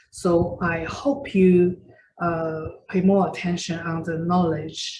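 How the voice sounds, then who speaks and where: Speaking at a very slow pace, this voice carries a Chinese accent. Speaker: Chinese medicine doctor and teacher. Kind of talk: lecture. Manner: halting, many fillers.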